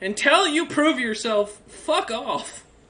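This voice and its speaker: A woman uses a put-on character voice, high in pitch with very wide pitch swings. She delivers it at a fairly slow pace. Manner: dismissive, curt.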